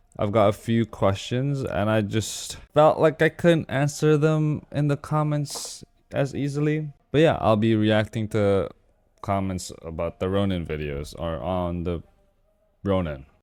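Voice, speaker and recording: A man speaks fairly slowly at a fairly low pitch, with very wide pitch swings. Music plays in the background. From Indonesia. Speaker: motorcycle vlogger. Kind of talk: casual vlog Q&A. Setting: at desk, home. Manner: loud, close to mic. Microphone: very close to microphone.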